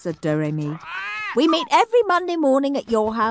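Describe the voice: Someone is reading text aloud. The delivery is plain reading aloud.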